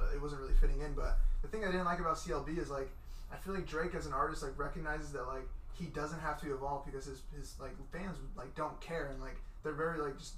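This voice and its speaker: A man talks at a very fast pace. There is audible room echo along with noticeable background noise. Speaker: podcast host. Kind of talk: casual chat. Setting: studio. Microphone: shared mic, quieter than guest.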